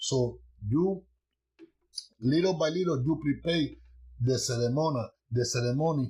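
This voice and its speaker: A somewhat breathy voice with a dark, mellow tone and a non-native accent, its loudness very even and its pitch varying in an ordinary way. It moves at a moderate pace, broken by long, frequent pauses. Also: man, fairly high pitch for a man. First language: not English. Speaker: Santeria priest teaching online. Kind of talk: livestream teaching. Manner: halting.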